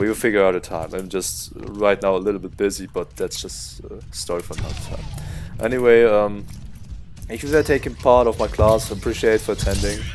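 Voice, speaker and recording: A man with a German accent, fairly low in pitch, at a fairly quick pace, with ordinary pitch variation, big swings in loudness and music in the background. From Germany. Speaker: video game coach. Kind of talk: gameplay tutorial. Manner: casual with many fillers.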